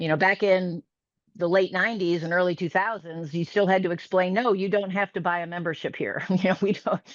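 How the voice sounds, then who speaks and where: Against a quiet background, a woman with a normal speaking voice and an American accent talks at a fairly quick pace with fairly even intonation. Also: medium pitch for a woman. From US Midwest, Chicago northern suburbs. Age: 60s. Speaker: fitness studio owner. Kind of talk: interview.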